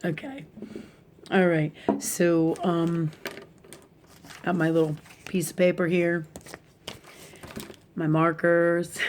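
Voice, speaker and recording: Over noticeable background noise, a woman with a fairly low pitch speaks at a very slow pace, her intonation fairly even and her speech broken by long, frequent pauses. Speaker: spiritual teacher. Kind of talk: casual talk with drawing. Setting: at home, live video. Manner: speaking low.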